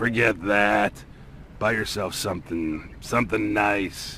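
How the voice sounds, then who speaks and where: Putting on a character voice, a man speaks in a raspy, fairly low register with fairly even intonation at a fairly slow pace, with clear background noise behind him. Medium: video game. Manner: gruff, folksy.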